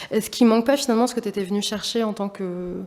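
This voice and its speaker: Fairly even intonation carries this speech along at a fairly quick pace. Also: woman. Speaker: exhibition curator and artist. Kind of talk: public talk. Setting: auditorium with audience. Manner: fast; halting, many fillers.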